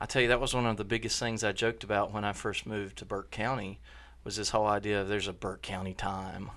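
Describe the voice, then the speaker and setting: Over a quiet background, someone with an American accent speaks at a very fast pace in a monotone, flat intonation. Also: man. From Charlotte, North Carolina. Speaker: podcast host, ministry leader. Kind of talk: podcast discussion about ministry. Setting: studio.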